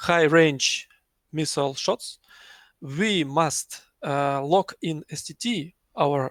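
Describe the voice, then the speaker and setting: At a very slow pace, a man with a non-native accent and a fairly high pitch speaks in a dry, close recording with no echo, very clean against a silent background. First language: not English. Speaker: flight sim squadron pilot. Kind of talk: post-match interview. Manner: halting.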